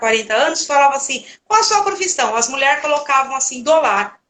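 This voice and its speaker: Raising and projecting her voice, a woman speaks at a high pitch with a bright, sharp tone, lively intonation and a moderate pace. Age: 60s. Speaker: home organizer, live host. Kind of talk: casual chat. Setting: live stream.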